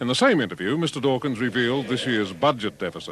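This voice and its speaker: Background sound is clearly present. The voice is a man's. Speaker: news reporter. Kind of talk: TV news report.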